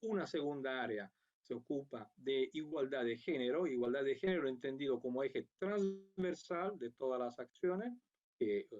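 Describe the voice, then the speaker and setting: With lively intonation, a man's fairly high voice moves along at a moderate pace. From Italy. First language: Italian (speaking Spanish). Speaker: international program coordinator. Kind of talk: conference talk. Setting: remote video link.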